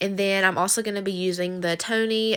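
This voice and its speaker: A woman with a Southern US accent, medium pitch and a bright, sharp tone, fairly quick and fairly even in intonation, on a very clean recording with a silent background. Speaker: cooking vlogger. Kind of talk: recipe tutorial voiceover. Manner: fast; casual, chatty.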